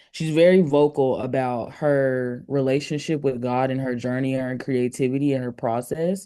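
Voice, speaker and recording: The speech runs at a moderate pace with hardly any pauses, over noticeable background noise. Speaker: podcast co-host. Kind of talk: casual chat. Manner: halting.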